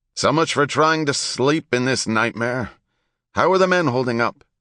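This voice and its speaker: A man performs a put-on character voice that sounds raspy, at medium pitch with ordinary pitch variation. He keeps a moderate pace over a quiet background. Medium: read story. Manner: commanding, gruff.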